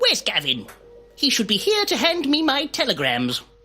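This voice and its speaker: Faint music plays behind a put-on character voice delivered at a moderate pace. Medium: machinima. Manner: pompous, dry.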